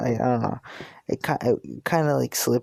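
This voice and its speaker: In a dry, close sound with no echo, the speaker talks at a moderate pace with a slight New Jersey accent. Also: man. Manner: hesitant, filler-heavy casual speech.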